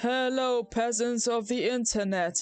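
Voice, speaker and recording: A female-sounding put-on character voice comes across as robotic and high-pitched. It moves at a fairly slow pace over faint background music. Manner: mock-grand, jokey.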